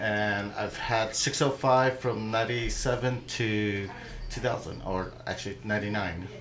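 Speech comes at a very slow pace with fairly even intonation, audible room echo, and noticeable background noise. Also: man, fairly low pitch for a man. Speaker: motorcycle racer. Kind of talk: casual interview. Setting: radio studio. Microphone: too far from the mic.

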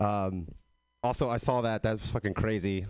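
An American accent at a moderate pace, ordinary pitch variation, and a quiet background. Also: man. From Texas. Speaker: comedian. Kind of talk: stand-up.

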